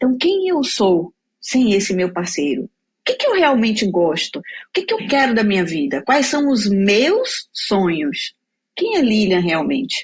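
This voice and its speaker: With very wide pitch swings and very even loudness, a woman speaks at a fairly slow pace in a fairly high, somewhat breathy voice. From Bahia, Brazil. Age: 40s. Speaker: career mentor, speaker. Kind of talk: interview testimony.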